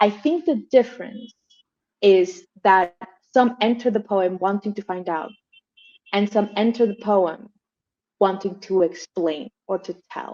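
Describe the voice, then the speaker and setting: A dark, mellow tone at a fairly slow pace, with ordinary pitch variation and long, frequent pauses. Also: woman, medium pitch for a woman. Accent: Colombian. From Colombia. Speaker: moderator, translator and scholar. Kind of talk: panel conversation.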